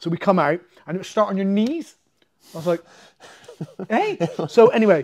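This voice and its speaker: A man with an English accent speaks in a high voice, his intonation lively and his loudness swinging widely. His pace is fairly quick, broken by long, frequent pauses. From England. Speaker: MMA fighter and jiu-jitsu coach; jiu-jitsu coach. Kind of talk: casual storytelling interview. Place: gym. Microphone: lapel.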